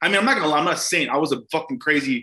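Bright and sharp in tone, a man talks at a fairly high pitch. He has an American accent. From Glendale, California. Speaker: comedian. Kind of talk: casual chat.

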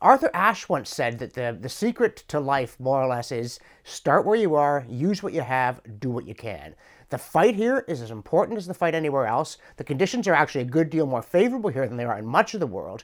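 In a Canadian accent, a man speaks at a fairly quick pace with very wide pitch swings and big swings in loudness, on a very clean recording with a silent background. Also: fairly high pitch for a man. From Canada (Ontario). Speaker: professor and commentator. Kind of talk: scripted monologue answering a viewer question.

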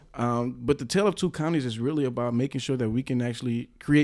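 Speaking at a very fast pace with an American accent, a man with a medium-pitched voice and a dark, mellow tone uses ordinary pitch variation on a very clean recording with a silent background. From Milwaukee, Wisconsin. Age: 30s. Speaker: politician. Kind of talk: interview.

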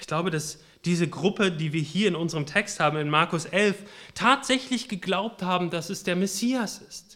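With a bright, sharp tone and lively intonation, a man speaks at a high pitch, his loudness swinging widely. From western Germany, Münsterland. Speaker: preacher. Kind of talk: sermon. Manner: halting.

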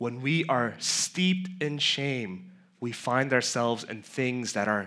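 Speaking very slowly, a man with an American accent has a bright, sharp tone and medium pitch. His intonation is lively. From New York City (Queens, Flushing). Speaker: pastor. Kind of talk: sermon.

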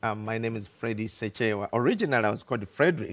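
A man speaks with a Ugandan accent and ordinary pitch variation. The sound is dry and close, with no echo. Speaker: pastor. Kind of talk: sermon. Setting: church.

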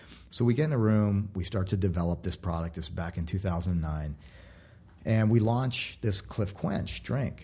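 Fairly low in pitch, a man speaks fairly slowly in a somewhat breathy voice with a dark, mellow tone. His pitch varies in an ordinary way. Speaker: former food company CEO. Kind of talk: interview. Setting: studio.

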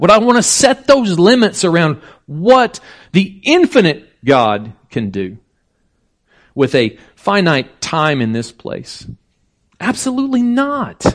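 Against a quiet background, a man with a high voice talks at a very slow pace, his pitch swinging very widely between long, frequent pauses. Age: 50s. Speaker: preacher. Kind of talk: sermon. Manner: casual, conversational.

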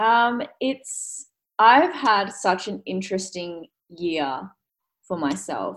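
A woman with an Australian accent at a medium pitch, very slow with long, frequent pauses and lively intonation. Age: 20s. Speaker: fitness coach and bikini competitor. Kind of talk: casual interview chat.

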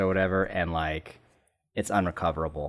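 A man with an American accent speaks fairly quickly in a very deep, low voice, his intonation flat and monotone. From Southern California. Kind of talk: casual chat.

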